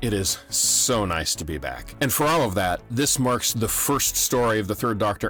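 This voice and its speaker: A man talks at a moderate pace with lively intonation. Music can be heard behind him. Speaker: podcast host. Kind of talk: casual talk to camera.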